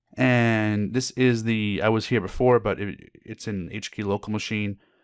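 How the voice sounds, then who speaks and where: The recording is very clean, with a silent background and a dry, close sound with no echo. A man speaks with monotone, flat intonation. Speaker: IT certification trainer. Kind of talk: tutorial. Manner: fast; hesitant with filler words.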